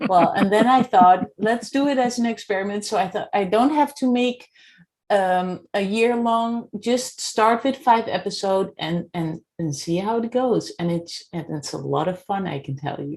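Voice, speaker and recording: The recording is very clean, with a silent background. A woman speaks with a Dutch accent at medium pitch, her intonation lively. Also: moderate pace. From Netherlands. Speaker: podcast host and coach. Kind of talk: interview.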